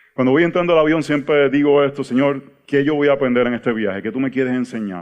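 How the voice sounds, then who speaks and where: In a Puerto Rican accent, a man of medium pitch speaks at a very fast pace with ordinary pitch variation. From Puerto Rico. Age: 40s. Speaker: pastor. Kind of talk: teaching workshop talk. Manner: halting, repeats words.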